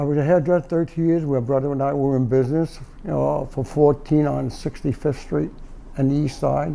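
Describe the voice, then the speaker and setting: A man with a New York accent talks at a moderate pace. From New York, Brooklyn (Bath Beach). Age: 70s. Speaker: doorman, Korean War veteran. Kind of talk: interview. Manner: halting.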